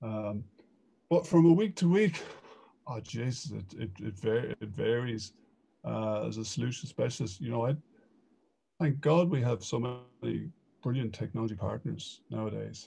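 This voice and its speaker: In an Irish accent, a somewhat breathy voice with a dark, mellow tone and lively intonation moves at a moderate pace with long, frequent pauses. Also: man, medium pitch for a man. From Ireland. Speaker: e-commerce consultant. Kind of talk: casual interview.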